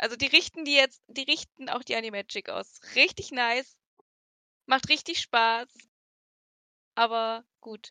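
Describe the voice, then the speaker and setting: In a dry, close recording with no echo and a very clean, silent background, a woman with a high, bright, sharp voice speaks at a fairly slow pace with ordinary pitch variation, big swings in loudness, and long, frequent pauses. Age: 20s. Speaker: podcast co-host. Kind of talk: casual chat.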